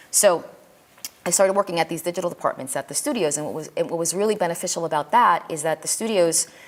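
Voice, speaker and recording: Noticeable background noise sits behind a woman talking very fast in a New York accent, her pitch fairly low with ordinary variation. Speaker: film industry teacher. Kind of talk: lecture. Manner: halting, many repetitions and fillers.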